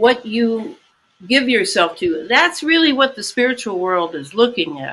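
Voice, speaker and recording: A woman talks at a fairly slow pace in a fairly high pitch. Her pitch swings very widely and her loudness rises and falls a lot. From US, raised among Eastern European immigrants. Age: 70s. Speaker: author and conspiracy researcher. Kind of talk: interview. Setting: video call on laptop.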